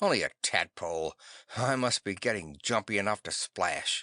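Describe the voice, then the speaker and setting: This raspy, put-on character voice moves at a moderate pace, with a dry, close sound with no echo and a quiet background. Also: man, fairly low pitch for a man. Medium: read story. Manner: clipped, odd frontier idiom; soft-spoken.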